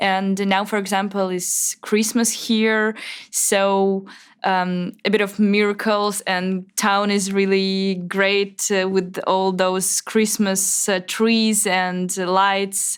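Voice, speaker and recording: A woman with a Russian accent speaks at a very slow pace with fairly even intonation. The recording is very clean, with a silent background. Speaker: Russian emigrant journalist. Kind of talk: interview. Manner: halting.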